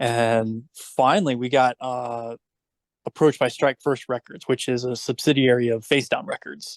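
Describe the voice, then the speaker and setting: A man with an American accent has a normal speaking voice at a medium pitch, with ordinary pitch variation. He talks at a moderate pace against a quiet background. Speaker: former band bassist. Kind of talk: casual chat.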